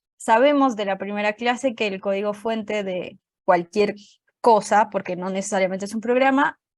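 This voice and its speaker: Speech with an ordinary pitch variation and a moderate pace, in a Colombian accent. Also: woman, medium pitch for a woman. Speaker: programming teacher. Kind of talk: online class lecture.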